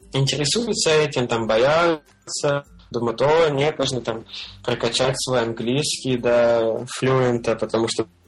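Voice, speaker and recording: Over noticeable background noise, a man speaks at a very slow pace with ordinary pitch variation. His loudness stays very even. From Russia, Belgorod. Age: 20s. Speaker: freelance web developer. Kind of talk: casual interview. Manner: halting with many fillers.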